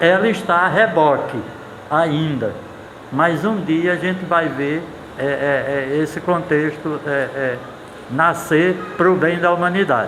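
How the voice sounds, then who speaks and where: A man at a very slow pace with long, frequent pauses, high in pitch with ordinary pitch variation, with music in the background and audible room echo. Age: 70s. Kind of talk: casual interview talk. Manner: halting, with repeated fillers.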